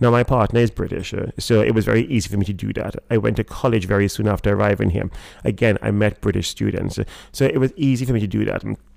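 Talking at a very fast pace, a man with a fairly low pitch, vocal fry and ordinary pitch variation is heard on a very clean recording against a silent background. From Trinidad. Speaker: restaurateur and rum brand founder. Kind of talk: casual interview. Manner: hesitant, halting, many fillers.

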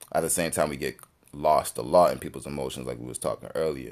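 A man talks at a fairly quick pace. His pitch is very deep and low, with vocal fry. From Jamaican heritage. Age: 20s. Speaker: musician. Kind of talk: casual chat.

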